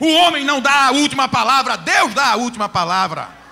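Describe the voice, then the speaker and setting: Over music in the background, a man with an extremely high pitch talks at a fairly quick pace in a raised, projected voice. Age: 50s. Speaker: pastor. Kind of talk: sermon. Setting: church.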